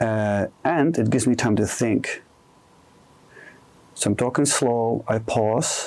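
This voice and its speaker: With a Dutch accent, a man speaks in a calm tone at a medium pitch. There is vocal fry, and his pitch varies in an ordinary way. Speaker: career coach. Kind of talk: interview conversation. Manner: calm with comfortable pauses.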